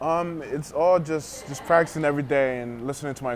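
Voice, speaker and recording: A man against noticeable background noise. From US, Panamanian family. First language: Spanish. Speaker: arena football player. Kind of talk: interview. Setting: tavern. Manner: halting.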